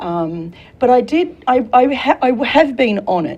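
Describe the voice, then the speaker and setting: Noticeable background noise sits behind a woman speaking with a slight Australian accent. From Australia, Sydney. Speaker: career consultant and military veteran. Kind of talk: talk show interview. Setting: studio.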